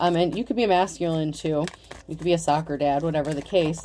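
Over light background noise, a woman speaks at a fairly low pitch in a dark, mellow tone. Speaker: tarot reader. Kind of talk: tarot reading commentary. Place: home room. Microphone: phone near.

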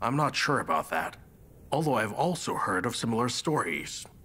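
A man uses a put-on character voice at a medium pitch and a moderate pace. Clear background noise runs under him. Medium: fan dub. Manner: gentle, advising.

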